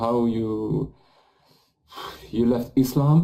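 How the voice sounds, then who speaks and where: With a French accent, a man talks at a very slow pace in a dark, mellow tone, his medium pitch showing ordinary variation. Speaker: live show host and interpreter. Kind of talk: live interview with interpretation. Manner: halting.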